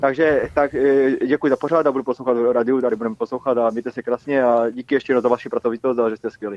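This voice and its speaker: Very fast speech with fairly even intonation. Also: man, medium pitch for a man. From Silesia, Czech Republic. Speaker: caller. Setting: phone call.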